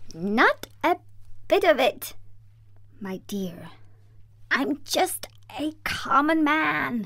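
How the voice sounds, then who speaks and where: Using a put-on character voice, a woman speaks shakily at a high pitch and a very slow pace, with long, frequent pauses. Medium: read story. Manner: meek, trembling.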